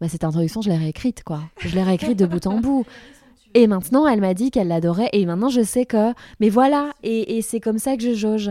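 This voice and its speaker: In a very clean recording with a silent background, a dark, mellow voice moves at a fairly quick pace with lively intonation. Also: woman, fairly high pitch for a woman. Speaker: author and philosopher, TV columnist. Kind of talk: casual interview chat.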